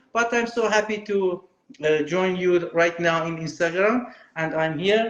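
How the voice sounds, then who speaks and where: This man speaks with a Persian accent at a fairly slow pace. His pitch is high, with ordinary variation. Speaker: film director. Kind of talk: interview. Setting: video call. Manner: halting, non-fluent English.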